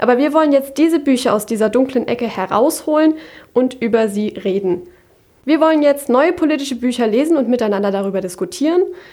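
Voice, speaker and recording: A woman speaks at a fairly quick pace and high pitch with lively intonation. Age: young. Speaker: podcast host, law student. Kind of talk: scripted intro.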